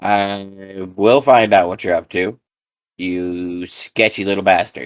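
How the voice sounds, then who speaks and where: A man's put-on character voice, fairly low and fairly slow. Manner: threatening, menacing.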